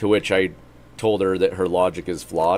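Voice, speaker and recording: Over music in the background, a man talks at a fairly quick pace in a very deep, low voice. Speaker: gaming streamer. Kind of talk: casual chat. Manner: loud; animated.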